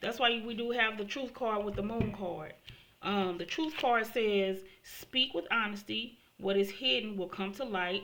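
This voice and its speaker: A woman with an ordinary speaking voice talks at medium pitch and a moderate pace, with ordinary pitch variation. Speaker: tarot reader. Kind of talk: tarot reading monologue.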